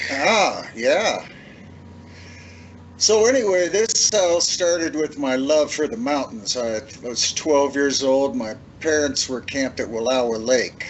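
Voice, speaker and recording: In an American accent, a man speaks at a fairly high pitch with very wide pitch swings and a very slow pace. There is noticeable background noise. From northeast Oregon. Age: 70s. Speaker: bigfoot witness. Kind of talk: interview, personal story.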